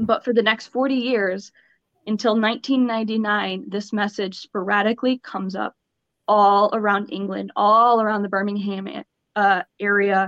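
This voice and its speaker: In a normal speaking voice, a woman talks at a fairly slow pace with a medium pitch and fairly even intonation. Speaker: podcast co-host presenting the mystery. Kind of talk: casual chat with storytelling.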